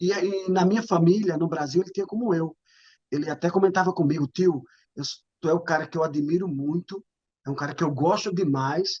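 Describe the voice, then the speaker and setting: This man has an ordinary speaking voice. He talks at a moderate pace with ordinary pitch variation. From Brazilian Northeast, Paraíba. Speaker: former footballer, relative of a murder victim. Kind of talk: interview testimony.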